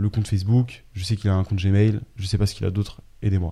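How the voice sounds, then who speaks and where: A man with an ordinary speaking voice keeps a fairly low pitch and fairly even intonation in a very clean recording with a silent background. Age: 20s. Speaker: entrepreneur, data intelligence specialist. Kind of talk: casual chat. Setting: studio.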